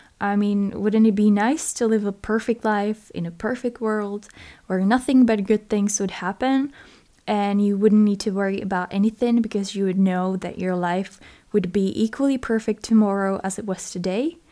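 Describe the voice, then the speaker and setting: On a very clean recording with a silent background, a woman with a non-native accent speaks at a moderate pace in a dark, mellow tone, her medium pitch carried with fairly even intonation. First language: not English. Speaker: podcast host. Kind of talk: solo podcast monologue.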